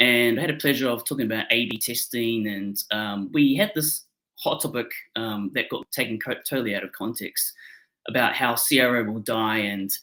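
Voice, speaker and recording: A man speaks at a moderate pace with a medium pitch. His tone is bright and sharp, with ordinary pitch variation. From New Zealand. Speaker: conversion optimisation consultant. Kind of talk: webinar presentation. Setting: video webinar. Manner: frequent fillers, um and uh.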